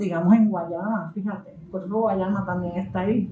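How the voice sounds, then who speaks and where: A woman's somewhat breathy voice at a medium pitch, dark and mellow in tone, with fairly even intonation, a Puerto Rican accent and audible room echo. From Puerto Rico. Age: 70s. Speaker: novelist. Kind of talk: book presentation talk.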